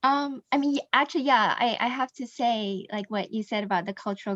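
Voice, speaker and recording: Against a quiet background, with a dry, close sound and no echo, a woman with an American accent speaks at a fairly quick pace with ordinary pitch variation. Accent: Americanized. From Indonesia and Singapore. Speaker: mastermind group member. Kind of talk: group discussion. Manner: hesitant, many fillers.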